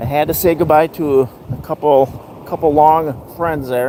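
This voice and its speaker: Noticeable background noise runs through the clip. Over it, a man talks at a moderate pace. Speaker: beachcombing video creator and magazine writer. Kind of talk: live beach vlog commentary. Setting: outdoors on the beach. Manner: volume shifts as he turns from camera.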